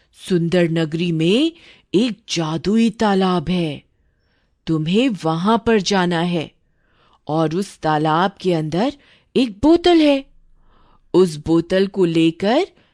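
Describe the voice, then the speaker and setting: Against a quiet background, a woman cackles in a put-on character voice at a medium pitch, going at a very slow pace with long, frequent pauses. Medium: cartoon. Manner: cackling, menacing.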